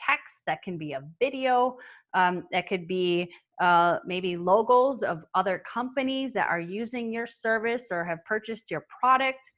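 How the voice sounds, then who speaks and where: Lively intonation marks a woman speaking at a medium pitch and a fairly slow pace. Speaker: marketing agency owner and webinar presenter. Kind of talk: webinar presentation. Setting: online webinar.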